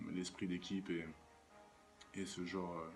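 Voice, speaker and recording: Music plays in the background as a man talks in a very deep, low pitch. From Paris region, France. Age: 20s. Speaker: professional basketball player. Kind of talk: interview monologue. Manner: halting, many fillers.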